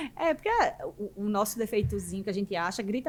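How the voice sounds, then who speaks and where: A woman with a fairly high pitch and lively intonation speaks fairly quickly over noticeable background noise. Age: 40s. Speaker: business mentor and entrepreneur. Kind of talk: podcast interview. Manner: naturally fast talker.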